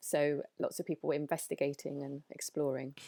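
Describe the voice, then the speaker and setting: A woman speaks at a fairly quick pace with a London accent. The recording is very clean, with a silent background. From London, England. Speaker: doula and nutritionist. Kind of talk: interview conversation. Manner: hesitant, many fillers.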